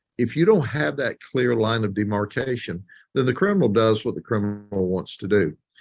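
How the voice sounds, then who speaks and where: This man speaks with an American accent. His pace is moderate and his intonation lively. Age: 60s. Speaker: sheriff. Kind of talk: interview. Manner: emphatic.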